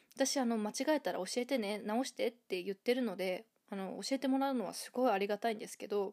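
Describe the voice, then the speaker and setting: Over a very clean recording with a silent background, a woman with fairly high pitch and ordinary pitch variation talks at a very fast pace, the sound dry and close with no echo. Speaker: podcast host, English learner. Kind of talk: casual monologue.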